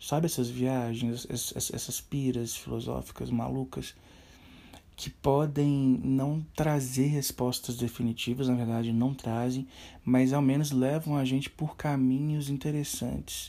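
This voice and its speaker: With a dark, mellow tone and medium pitch, a man speaks in flat, monotone intonation in a very clean recording with a silent background. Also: fairly slow pace. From Minas Gerais, Brazil. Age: 30s. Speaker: podcast host, film enthusiast. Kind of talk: solo podcast monologue.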